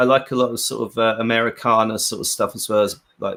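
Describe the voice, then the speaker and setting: At a fairly quick pace, a man with a British accent speaks on a very clean recording with a silent background. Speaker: rock guitarist. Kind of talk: casual interview. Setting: live stream.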